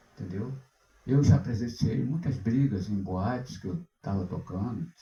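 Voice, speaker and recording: A somewhat breathy male voice, dark and mellow in tone. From Brazil, Rio de Janeiro (born in Recife). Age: 70s. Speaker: pastor and singer. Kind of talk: sermon. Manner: halting, with repetitions.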